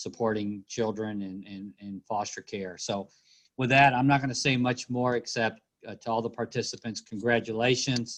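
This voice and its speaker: The setting is quiet. Speaking with fairly even intonation, this man holds a moderate speed. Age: 60s. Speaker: university leader. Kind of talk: welcome remarks. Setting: video call. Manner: halting. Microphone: laptop via cell phone hotspot.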